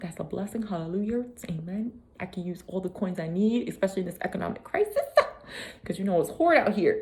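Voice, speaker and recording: Very fast, animated speech over noticeable background noise. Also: woman. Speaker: vlogger. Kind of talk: casual motivational vlog.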